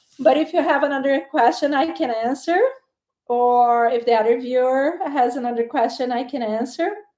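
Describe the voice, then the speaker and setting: Speaking at a moderate pace in a Portuguese accent, a woman has a high pitch, a dark, mellow tone and ordinary pitch variation. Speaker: tarot reader. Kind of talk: live-stream tarot reading. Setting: live stream on camera. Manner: hesitant, with fillers and repeated words.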